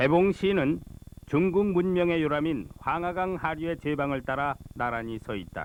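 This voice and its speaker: A man's fairly high voice, fairly slow and with ordinary pitch variation, over noticeable background noise. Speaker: voice actor. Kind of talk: documentary narration.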